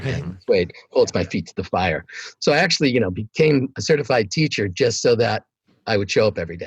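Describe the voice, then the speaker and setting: Talking at a very fast pace, a man's somewhat breathy voice makes very wide pitch swings and big swings in loudness, with a dry, close sound and no echo. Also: medium pitch for a man. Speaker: meditation teacher. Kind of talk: interview answer. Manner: casual, conversational.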